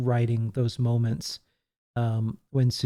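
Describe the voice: This plain reading aloud comes over a quiet background.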